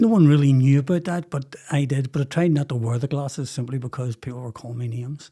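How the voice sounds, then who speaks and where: This man talks at a very fast pace with a Belfast accent, his pitch fairly high and his tone dark and mellow. His voice is somewhat breathy, with ordinary pitch variation. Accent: Belfast Northern Irish. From Northern Ireland, West Belfast. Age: 60s. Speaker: podcast guest, former businessman. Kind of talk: personal life story interview.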